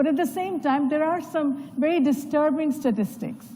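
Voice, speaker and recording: A woman speaks loudly, with audible room echo. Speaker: panel moderator. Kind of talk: panel moderation speech. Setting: conference stage with audience.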